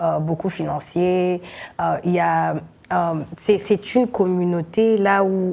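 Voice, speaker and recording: A woman talks at a very slow pace. Her fairly low voice keeps a fairly even intonation. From Burundi. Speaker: singer, rapper and poet. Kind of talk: interview. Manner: halting, many hesitations and repeated words.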